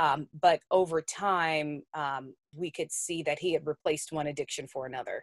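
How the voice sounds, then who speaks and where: With a very deep, low pitch, a woman talks at a moderate pace with hardly any pauses and fairly even intonation, the sound dry and close with no echo. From US South, New Orleans. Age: 30s. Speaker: TV news anchor. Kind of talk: interview.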